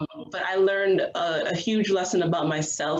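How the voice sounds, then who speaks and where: Someone speaks with a New York accent and ordinary pitch variation. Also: woman. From New York City (Queens). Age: 30s. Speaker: professional footballer. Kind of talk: interview.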